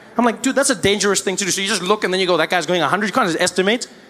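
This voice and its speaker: A man's voice sits high in pitch, with noticeable background noise behind it. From South Africa. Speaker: stand-up comedian. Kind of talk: live stand-up comedy.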